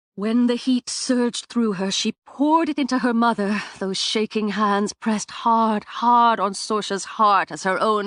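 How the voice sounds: It is a natural reading voice with fairly even intonation.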